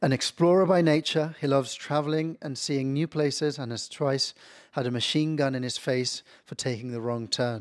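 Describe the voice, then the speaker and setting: At a fairly slow pace, a man speaks at a fairly high pitch with ordinary pitch variation. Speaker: university academic, moderator. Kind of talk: panel introduction. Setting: video recording. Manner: soft-spoken.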